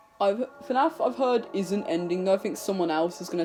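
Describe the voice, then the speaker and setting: Over background music, the speech keeps a moderate pace. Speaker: youtuber. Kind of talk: casual vlog monologue. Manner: halting, unscripted.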